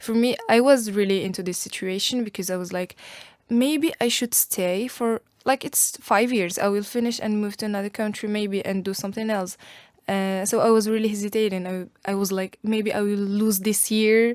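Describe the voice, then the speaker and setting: With an Arabic accent, a woman talks at a moderate pace in a medium pitch, her intonation fairly even. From Algeria. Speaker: university student. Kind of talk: podcast interview.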